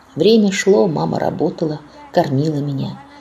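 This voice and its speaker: Noticeable background noise sits behind a woman speaking at a very deep, low pitch. She talks fairly slowly with lively intonation. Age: 80s+. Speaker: deportation survivor, eyewitness. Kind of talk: testimony.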